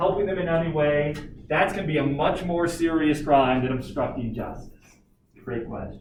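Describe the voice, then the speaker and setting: In a room with audible echo, a man with a fairly high pitch talks at a fairly quick pace. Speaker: teacher. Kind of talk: lecture.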